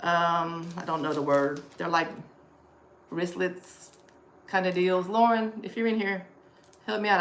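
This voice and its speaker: A woman's fairly low voice with ordinary pitch variation and long, frequent pauses, plus audible room echo and noticeable background noise. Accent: American. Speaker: thrift reseller livestreamer. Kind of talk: live stream haul chat. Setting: live stream. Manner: fast.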